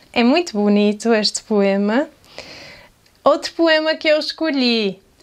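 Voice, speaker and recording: A woman speaks in a high pitch. She has a European Portuguese accent. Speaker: video creator. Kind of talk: poetry reading aloud; casual vlog talk.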